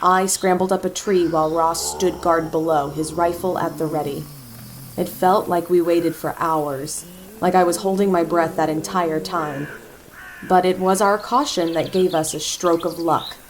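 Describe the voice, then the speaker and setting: A woman with an American accent and a fairly low pitch, at a moderate pace with fairly even intonation, amid noticeable background noise. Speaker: voice actor. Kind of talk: horror story narration.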